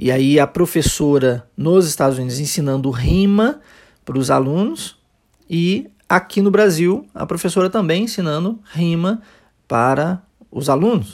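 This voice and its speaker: This man's voice sits at a high pitch with lively intonation. He speaks at a fairly slow pace. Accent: Brazilian. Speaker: English teacher. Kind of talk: language lesson podcast.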